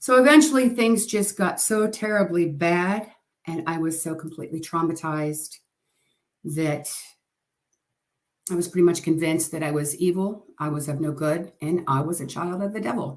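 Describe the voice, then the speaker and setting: A woman with an ordinary speaking voice talks at a fairly low pitch. Her pace is moderate, with ordinary pitch variation. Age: 60s. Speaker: testimony sharer. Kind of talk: testimony.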